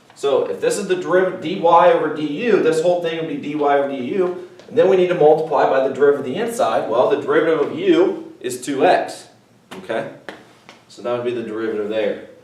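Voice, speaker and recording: A man speaks at a high pitch with lively intonation and big swings in loudness. Audible room echo and noticeable background noise surround him. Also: fairly quick pace. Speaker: math teacher. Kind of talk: recorded video lesson. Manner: casual, conversational.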